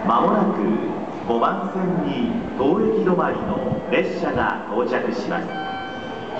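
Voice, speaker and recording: Loud background noise and audible room echo fill the recording. A man speaks with hardly any pauses. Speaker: station announcer. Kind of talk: train station platform announcement. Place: station.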